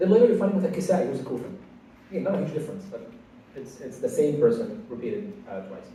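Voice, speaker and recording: A man with a high pitch talks at a very fast pace with lively intonation and big swings in loudness. Audible room echo surrounds his voice. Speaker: Quran studies teacher. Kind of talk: lecture. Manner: halting.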